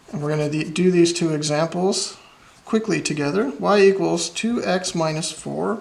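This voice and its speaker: A man's high-pitched voice carries ordinary pitch variation, with noticeable noise in the background. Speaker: math teacher. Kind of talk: tutorial.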